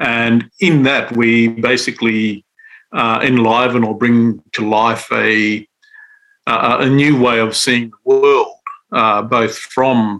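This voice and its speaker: With an Australian accent, a man speaks at medium pitch in a bright, sharp tone. His intonation is monotone and flat, his loudness very even. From Western Australia, Central Desert. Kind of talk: interview. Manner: halting, many fillers.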